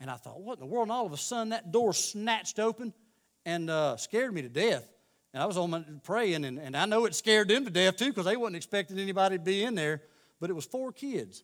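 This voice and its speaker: A man's very fast, high-pitched delivery with lively intonation and a Southern US accent. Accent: Southern American. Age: 40s. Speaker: lay preacher. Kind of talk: sermon. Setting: church. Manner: halting.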